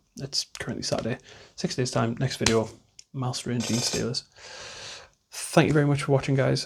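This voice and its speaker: With fairly even intonation and a medium pitch, a man's voice comes out somewhat breathy. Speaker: hobby YouTuber, miniature wargaming. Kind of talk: casual vlog monologue. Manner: fast at times.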